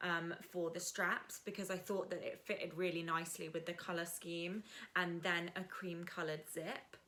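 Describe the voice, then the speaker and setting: Noticeable background noise surrounds the recording. A woman speaks at a medium pitch and a moderate pace. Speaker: sewing vlogger. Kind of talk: casual tutorial vlog. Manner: animated.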